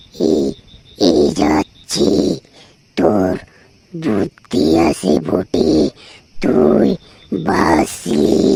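In a cartoonish character voice, a man speaks very slowly with a raspy sound and a very deep, low pitch. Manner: bossy, addresses human with rude tui forms.

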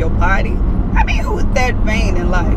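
A woman speaks over loud background noise. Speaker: gossip vlogger. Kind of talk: casual vlog chat. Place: car. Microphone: camera far.

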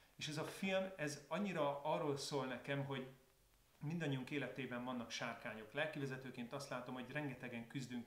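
The room echo is audible as a man talks at a fairly quick pace. His pitch sits at a medium level. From Hungary. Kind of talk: casual video talk to viewers. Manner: calmer, more reflective tone. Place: home room.

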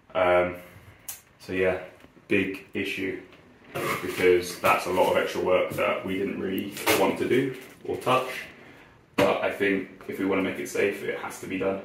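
A man speaks at a moderate pace with long, frequent pauses. Noticeable background noise and audible room echo are present. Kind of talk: casual vlog explanation. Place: home room.

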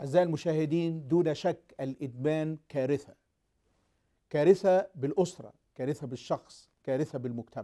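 A man speaks at a fairly slow pace with a fairly high pitch and ordinary pitch variation. His tone is dark and mellow, and the background is quiet. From Egypt. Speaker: TV talk show host and pastor; TV talk show host, pastor. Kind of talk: TV talk show hosting. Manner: formal. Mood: earnest, hopeful. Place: studio. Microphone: lapel.

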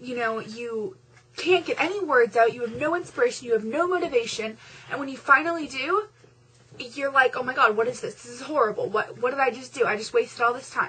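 A woman with a high pitch uses a raised, projected voice at a fairly quick pace, with lively intonation and big swings in loudness. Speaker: vlogger. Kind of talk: pep talk to fellow novel writers, chatty and encouraging, direct address to camera. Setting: video blog. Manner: animated, conversational, reassuring, with fillers and self-deprecating asides. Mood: encouraging, upbeat pep talk. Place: home room. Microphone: webcam.

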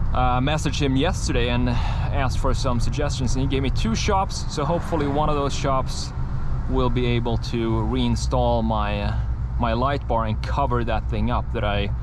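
A man's voice at very even loudness, dry with no echo, over noticeable background noise. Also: moderate pace. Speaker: truck owner vlogger. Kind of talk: casual vlog chat. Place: car. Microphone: camera far.

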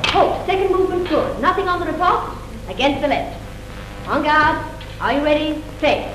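Behind the voice, music is playing. The woman speaking keeps a moderate pace. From England. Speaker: fencing instructor. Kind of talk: fencing class coaching, barked drill commands. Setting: fencing hall, old film soundtrack. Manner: brisk, crisp, commanding. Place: hall.

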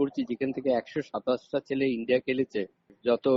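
A man at medium pitch in an ordinary speaking voice. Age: 60s. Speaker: football coach. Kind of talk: interview. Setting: phone call.

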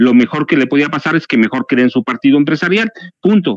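A man with a Mexican accent speaks in a fairly high pitch with lively intonation, the sound dry with no echo over a quiet background. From Mexico. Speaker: journalist and writer; journalist, guest. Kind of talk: political commentary panel. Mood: critical, concerned. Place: home room. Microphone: headset.

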